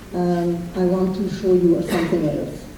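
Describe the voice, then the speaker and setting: A woman with a German accent speaks at a fairly slow pace. Audible room echo and noticeable background noise surround her. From France. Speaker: Holocaust survivor. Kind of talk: testimony. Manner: halting.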